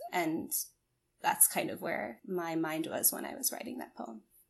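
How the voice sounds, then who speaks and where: The speaker is a woman. She goes at a moderate pace. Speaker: physician assistant student and poet. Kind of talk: poetry reading and interview.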